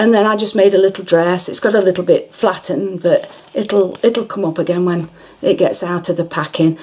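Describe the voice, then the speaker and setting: This woman has an English accent and a medium pitch, talking at a moderate pace. There is noticeable background noise. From England. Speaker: crafter. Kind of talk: tutorial. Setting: bedroom. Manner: halting.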